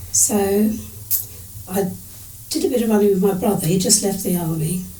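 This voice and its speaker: A woman at a medium pitch and fairly quick pace, with ordinary pitch variation, audible room echo and noticeable background noise. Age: 70s. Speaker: age-group triathlete. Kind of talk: interview storytelling. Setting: at home, face-to-face interview.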